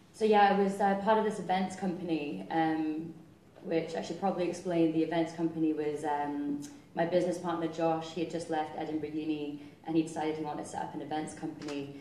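Audible room echo and light background noise surround the speaker. A woman talks at a fairly quick pace in a fairly low pitch with fairly even intonation. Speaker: guest. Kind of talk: interview answer. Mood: light, humorous storytelling. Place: stage.

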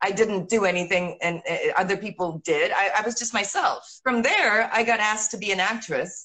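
A woman with an American accent at a moderate pace, hardly any pauses, against a quiet background. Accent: American-sounding English. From Italy (Rome), born in England. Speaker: actress. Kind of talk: casual interview. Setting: video call. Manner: animated. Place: home room. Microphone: video call.

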